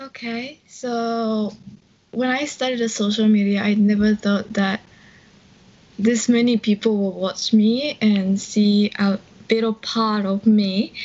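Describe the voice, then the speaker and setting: A woman with a Japanese accent speaks very slowly in a fairly high, somewhat breathy voice with fairly even intonation. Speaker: English learning YouTuber. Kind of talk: casual interview.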